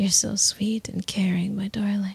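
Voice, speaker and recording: Soft-spoken delivery at a very slow pace. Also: dry sound with no echo. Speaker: voice actor in roleplay audio. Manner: soft, intimate, obsessive ASMR voice.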